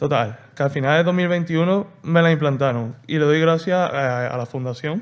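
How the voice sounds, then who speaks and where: The speaker is a man with ordinary pitch variation. He keeps to a moderate pace. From Andalusia, Seville. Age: 20s. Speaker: patient. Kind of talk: testimony. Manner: halting.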